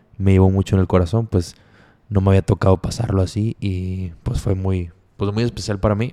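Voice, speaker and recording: With a Mexican accent, a man talks at a moderate pace and a fairly low pitch. His tone is dark and mellow, his intonation fairly even. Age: 20s. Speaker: podcast host. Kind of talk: casual monologue.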